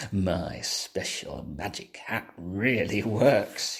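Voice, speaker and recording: A man uses a put-on character voice and speaks very slowly. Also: fairly low pitch for a man. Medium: read story.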